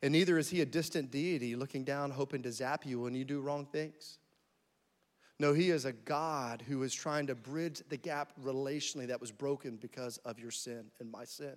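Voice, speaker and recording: With an American accent and fairly high pitch, a man speaks at a moderate pace on a very clean recording with a silent background. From US South, army brat (Florida, Alabama, North Carolina, Tennessee). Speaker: guest pastor. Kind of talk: sermon. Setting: church with congregation. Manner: animated.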